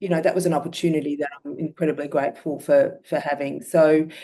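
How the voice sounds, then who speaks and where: This woman has an Australian accent and a very deep, low pitch with a dark, mellow tone. She speaks at a fairly quick pace with fairly even intonation. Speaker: myeloma patient. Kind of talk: testimony.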